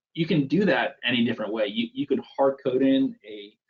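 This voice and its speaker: Moving at a moderate pace, a man talks in an ordinary speaking voice at medium pitch with ordinary pitch variation. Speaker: Salesforce flow presenter. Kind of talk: technical demo presentation.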